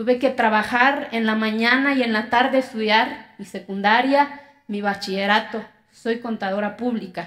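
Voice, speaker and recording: With a fairly high pitch, a woman speaks at a fairly slow pace and keeps her intonation fairly even. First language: Zapotec (speaking Spanish). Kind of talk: TEDx talk.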